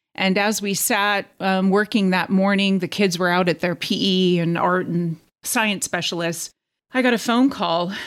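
A woman speaks in a plain, everyday voice at a fairly slow pace, with medium pitch and fairly even intonation. The recording is very clean, with a silent background. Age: 50s. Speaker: transplant survivor, teacher. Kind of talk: interview testimony.

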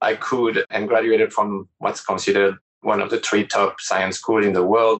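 A man speaks with a French accent. His pace is fairly quick. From France. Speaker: startup CEO. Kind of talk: interview.

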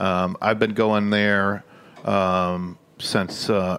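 The man's voice sits fairly low. His intonation is monotone and flat. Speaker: barbecue cook. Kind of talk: casual chat.

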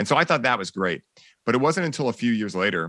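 A bright, sharp voice sounds dry and close with no echo against a quiet background. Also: man. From Boston, Massachusetts. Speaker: cannabis coach and podcast host. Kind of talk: casual interview chat.

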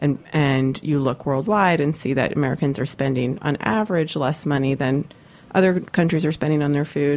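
A woman speaks in a very deep, low voice with ordinary pitch variation. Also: moderate pace. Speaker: radio host. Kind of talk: radio interview. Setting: studio. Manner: loud.

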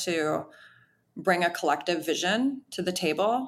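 At a fairly slow pace, a woman with an American accent speaks with ordinary pitch variation. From Wisconsin, small town. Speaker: chef and restaurant owner. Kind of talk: casual interview.

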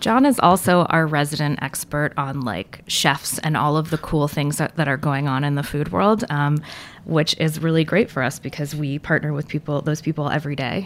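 A woman's very deep, low voice at a moderate pace, with hardly any pauses, ordinary pitch variation and noticeable background noise. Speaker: museum curator. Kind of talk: interview conversation.

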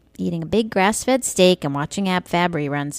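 A woman with an American accent speaks at a fairly low pitch with ordinary pitch variation. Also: dry, close sound with no echo. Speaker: radio show host. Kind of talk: satirical monologue. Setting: radio studio. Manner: sarcastic-sounding.

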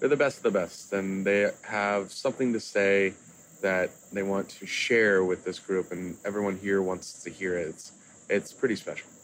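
A man speaks at a moderate pace with an American accent, his pitch fairly low. He has an unremarkable speaking voice. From Kansas City, US Midwest. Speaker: chef and restaurateur. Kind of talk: casual interview chat.

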